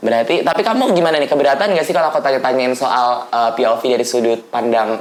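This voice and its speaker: A woman speaks in a very deep, low voice with lively intonation. Audible room echo and noticeable background noise fill the recording. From Manado, North Sulawesi. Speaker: student podcast host. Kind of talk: explanatory lecture; casual chat. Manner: hesitant, many fillers.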